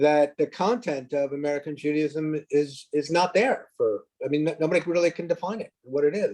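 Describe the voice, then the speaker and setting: A man's fairly high voice, a plain, everyday voice, at a moderate pace with hardly any pauses and ordinary pitch variation. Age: 60s. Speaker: audience member asking a question. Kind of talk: audience question.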